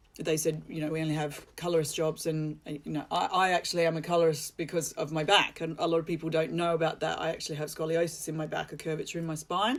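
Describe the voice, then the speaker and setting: A woman with an Australian accent talks very fast in a very deep, low pitch with monotone, flat intonation. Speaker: hair colorist and educator. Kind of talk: live presentation. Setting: social media livestream. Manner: hesitant, many fillers and repeats.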